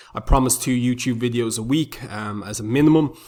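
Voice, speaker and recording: A man's medium-pitched voice with an Irish accent, moderate pace and fairly even intonation. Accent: Irish, noticeable. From Republic of Ireland. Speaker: forex trader, YouTuber. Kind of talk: tutorial. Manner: frequent filler words (um).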